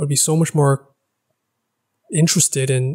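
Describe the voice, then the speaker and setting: Over a quiet background, a man with a fairly high pitch and a somewhat breathy voice talks at a moderate pace with ordinary pitch variation. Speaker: language-learning YouTuber. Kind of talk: casual vlog monologue. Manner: hesitant, many filler words. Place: home room. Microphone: studio mic.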